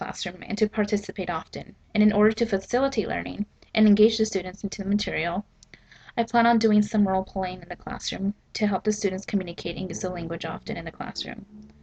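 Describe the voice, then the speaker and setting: Somewhat breathy, a woman at medium pitch speaks at a very fast pace with fairly even intonation. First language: Spanish. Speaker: student teacher. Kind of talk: prepared statement read aloud. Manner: scripted, formal.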